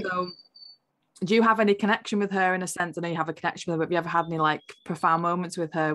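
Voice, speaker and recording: Her tone is enthusiastic, and she talks at a very fast pace. The woman's pitch is fairly low. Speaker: podcast host. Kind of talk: podcast interview, casual conversation.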